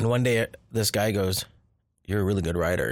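Very fast speech on a very clean recording with a silent background. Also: man. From Southern California. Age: 40s. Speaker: filmmaker. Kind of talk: casual chat. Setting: outdoors.

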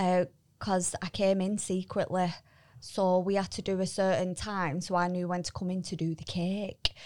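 A woman speaks at a moderate pace with a medium pitch and a flat, monotone delivery. The recording is very clean, with a silent background. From Bolton, northern England. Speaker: co-host, recruitment business employee. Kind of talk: casual chat. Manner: chatty, light-hearted.

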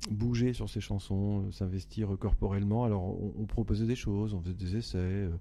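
The delivery runs at a moderate pace with hardly any pauses and a monotone, flat intonation. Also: man, fairly low pitch for a man. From France (Le Havre, Normandy). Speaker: singer-songwriter. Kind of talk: interview.

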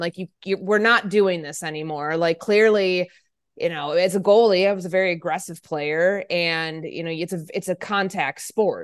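Speaking with an American accent at a moderate pace, a woman has an unremarkable speaking voice, fairly low in pitch, with fairly even intonation. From US Midwest, Chicago area. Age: 30s. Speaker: sports journalist and radio host. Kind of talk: interview conversation.

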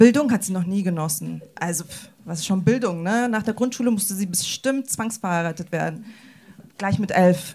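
A woman speaks at a medium pitch and a moderate pace, her dark, mellow tone somewhat breathy. Her pitch variation is ordinary, while her loudness swings widely. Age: 20s. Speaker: youth social worker. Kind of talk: panel discussion.

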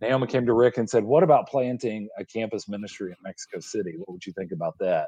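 With an American accent, a man with a dark, mellow tone talks at a very fast pace, the sound dry and close with no echo over a quiet background. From US South, Georgia (suburban Atlanta). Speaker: missions director, former missionary. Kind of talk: casual interview.

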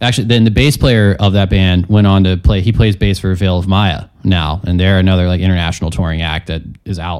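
A man with a very deep, low pitch speaks with hardly any pauses. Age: 20s. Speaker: guitarist and composer. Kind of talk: interview. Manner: casual.

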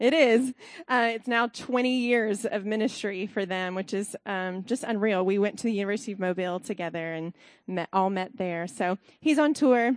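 With a Southern US accent, a woman speaks at a moderate pace and medium pitch with ordinary pitch variation. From US South, Alabama. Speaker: costume designer. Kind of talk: testimony.

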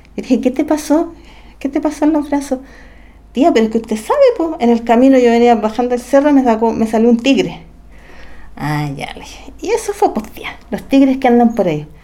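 Noticeable background noise surrounds a woman with a high pitch. She uses lively intonation and takes long, frequent pauses. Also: moderate pace. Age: 40s. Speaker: special education teacher. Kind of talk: testimony.

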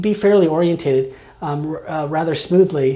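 A man's voice with ordinary pitch variation, noticeable background noise and audible room echo. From Kansas. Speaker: mission resident. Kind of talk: interview testimony. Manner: halting, many fillers.

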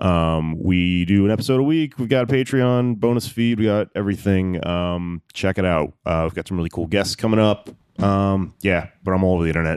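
A man with an American accent talks at a fairly quick pace with hardly any pauses. He has an ordinary speaking voice, a fairly low pitch and ordinary pitch variation. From Texas, Houston. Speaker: stand-up comedian and podcast host. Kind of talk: casual chat.

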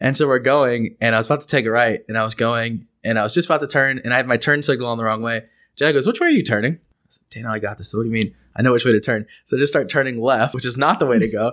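In a very clean recording with a silent background, a man with a Texan accent talks very fast at a medium pitch, his intonation fairly even. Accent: Texan American. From East Texas. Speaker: podcast host. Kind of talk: casual chat. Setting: studio.

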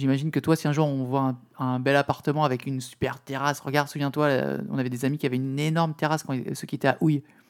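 The speech comes at a very fast pace with hardly any pauses. The intonation is monotone and flat. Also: man, fairly high pitch for a man. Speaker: podcast co-host. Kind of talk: casual chat.

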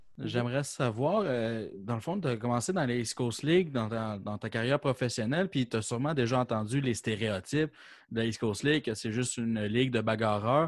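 A man with a plain, everyday voice, medium pitch and ordinary pitch variation at a moderate pace over a quiet background. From Quebec City, Quebec. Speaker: podcast co-host. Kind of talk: casual chat.

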